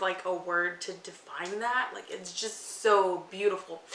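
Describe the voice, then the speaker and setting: A woman's animated voice at a fairly slow pace, with audible room echo and noticeable background noise. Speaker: book youtuber. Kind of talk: casual unboxing vlog.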